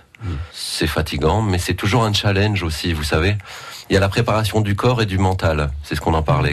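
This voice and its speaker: Very deep, low male voice at a fairly quick pace with ordinary pitch variation, amid noticeable background noise. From northern France. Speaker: street performer. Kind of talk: radio interview.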